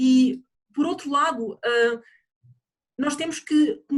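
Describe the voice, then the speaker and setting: A woman speaks in a European Portuguese accent with ordinary pitch variation. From Portugal. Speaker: project coordinator and presenter. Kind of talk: webinar presentation. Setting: online webinar. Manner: halting, many fillers.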